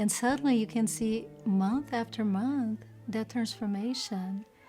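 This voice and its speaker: Against music in the background, a woman speaks at medium pitch with a non-native accent and ordinary pitch variation. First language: not English. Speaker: volunteer. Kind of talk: testimony.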